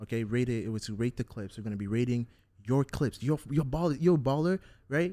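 A man speaks at a fairly quick pace in a dark, mellow tone. The sound is dry and close, with no echo. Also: medium pitch for a man, ordinary pitch variation. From Africa. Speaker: football podcast host. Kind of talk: casual chat.

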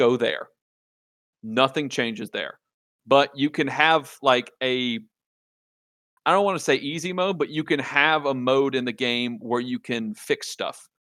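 A man with a Louisiana accent talks at a fairly slow pace and fairly high pitch, with ordinary pitch variation and a bright, sharp tone. Long, frequent pauses break up his speech in a very clean recording with a silent background. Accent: Southern US (Louisiana). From Louisiana, rural south. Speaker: video game podcast guest. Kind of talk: casual chat.

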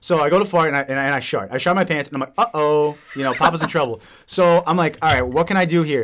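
A man talks at a fairly quick pace with ordinary pitch variation, in an ordinary speaking voice. The recording is very clean, with a silent background. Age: 20s. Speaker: podcast co-host. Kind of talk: casual chat.

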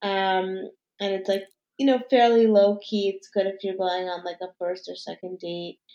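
A woman with an American accent, medium in pitch and dark, mellow in tone, at a moderate pace, with fairly even intonation and big swings in loudness. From New York City, Manhattan. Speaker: food and lifestyle influencer. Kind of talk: casual interview.

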